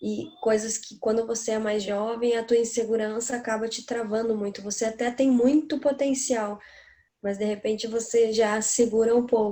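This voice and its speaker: A woman's fairly high-pitched voice with a dark, mellow tone, on a very clean recording with a silent background. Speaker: singer. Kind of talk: casual chat.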